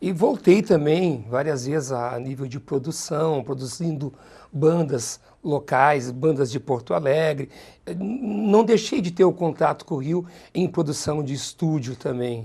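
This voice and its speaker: Against a quiet background, a man speaks fairly slowly in a fairly high pitch, his tone dark, mellow and somewhat breathy, with lively intonation. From southern Brazil, Caxias do Sul. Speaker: TV presenter. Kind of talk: interview.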